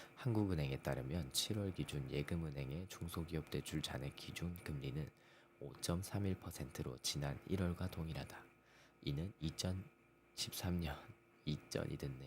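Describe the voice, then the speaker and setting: Very deep and low, a man's voice with vocal fry moves at a fairly slow pace with ordinary pitch variation. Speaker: economic news channel host. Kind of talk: reading news articles aloud. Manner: stumbling over words, self-correcting.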